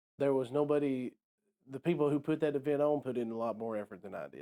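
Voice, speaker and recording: Speaking at a moderate pace, the man has a fairly high pitch and a dark, mellow tone. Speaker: real estate agent, book discussion co-host. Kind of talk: casual chat. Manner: halting, many fillers.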